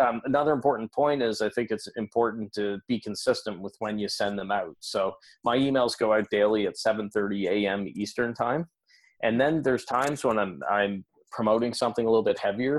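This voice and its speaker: An unremarkable speaking voice belongs to a man with a Canadian accent, talking at a fairly quick pace with medium pitch and ordinary pitch variation. The sound is dry and close, with no echo. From Canada. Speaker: business coach and podcaster. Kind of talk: interview. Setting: remote call.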